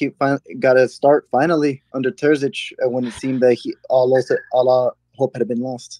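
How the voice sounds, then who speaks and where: A man's dark, mellow tone at a fairly quick pace, fairly even in intonation, in a dry sound with no echo. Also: quiet background. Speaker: caller. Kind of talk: casual call-in chat. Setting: voice call over Discord. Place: home room. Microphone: studio mic.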